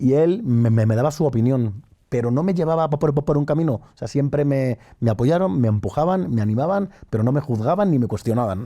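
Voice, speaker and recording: A man's dark, mellow voice at medium pitch, fairly quick and with lively intonation, on a very clean recording with a silent background. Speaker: entrepreneur. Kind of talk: interview. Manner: halting.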